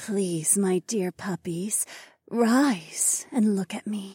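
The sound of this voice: Doing a put-on character voice, a woman speaks very slowly at a medium pitch, with a dark, mellow tone, a husky, rough edge, and ordinary pitch variation. The sound is dry and close with no echo, on a very clean recording with a silent background.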